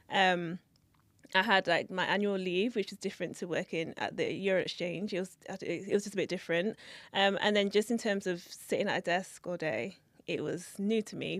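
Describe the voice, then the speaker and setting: With a London accent, a woman speaks at a moderate pace and with fairly even intonation on a very clean recording with a silent background. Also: medium pitch for a woman. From London, England. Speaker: assistant investment manager. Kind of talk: interview. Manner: quiet, reserved; hesitant, many fillers.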